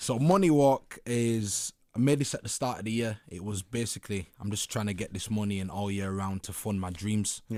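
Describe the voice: A man with a Leeds accent talks at a moderate pace with hardly any pauses, his fairly low voice dark and mellow in tone, with ordinary pitch variation. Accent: Leeds, northern English.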